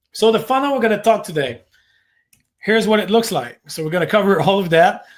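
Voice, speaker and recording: This man speaks with a French Canadian accent at a fairly quick pace. His pitch varies in an ordinary way. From Quebec. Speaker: marketing agency owner. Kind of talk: webinar workshop presentation. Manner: many filler words (uh).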